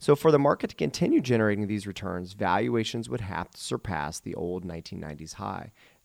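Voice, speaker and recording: Talking very fast with hardly any pauses, a man uses a fairly low pitch with vocal fry, very wide pitch swings and big swings in loudness. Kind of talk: radio show patter, teasing the break and station ID in a sign-off. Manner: brisk, upbeat, salesy radio-announcer cadence.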